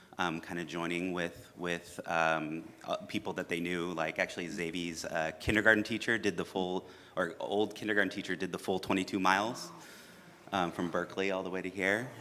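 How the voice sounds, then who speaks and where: A man talks loudly at a fairly quick pace, his pitch very deep and low. His tone is bright and sharp, and his intonation stays fairly even. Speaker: congregation member and parent. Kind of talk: personal sharing. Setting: church. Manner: halting.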